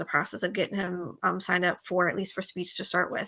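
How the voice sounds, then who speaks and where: A woman's bright, sharp voice at a medium pitch, very fast in pace and monotone, flat in intonation. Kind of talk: interview.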